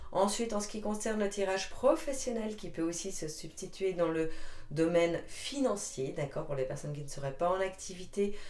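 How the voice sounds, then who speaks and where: Over noticeable background noise and audible room echo, a woman of medium pitch talks at a moderate pace with very wide pitch swings. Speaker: tarot card reader. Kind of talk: tarot reading to camera. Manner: chatty, hesitant.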